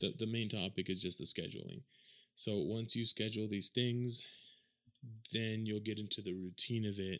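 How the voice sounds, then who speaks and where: A man with fairly even intonation on a very clean recording, the background silent. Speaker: podcast host. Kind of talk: solo podcast monologue. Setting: home recording. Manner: fast talker, mumbles; casual, rambling.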